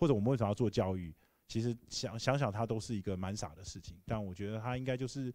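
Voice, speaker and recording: Quiet in the background, a man's dark, mellow voice runs at a very fast pace and fairly low pitch. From Taiwan. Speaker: tech company founder and CEO; guest. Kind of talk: Q&A answers. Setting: lecture hall with audience. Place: hall. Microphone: handheld.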